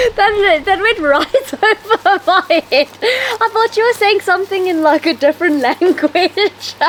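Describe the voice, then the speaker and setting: Over noticeable background noise, a woman with an extremely high pitch talks at a fairly slow pace with hardly any pauses, lively intonation and very even loudness. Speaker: YouTuber. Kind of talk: interview chat. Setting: outdoors.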